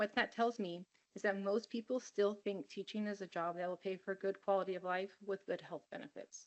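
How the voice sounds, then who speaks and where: Speaking with an American accent, a woman uses a plain, everyday voice at a medium pitch, moving at a fairly quick pace with fairly even intonation. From California, Monterey County. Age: 50s. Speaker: teacher giving public comment. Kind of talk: public comment testimony. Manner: earnest, pleading.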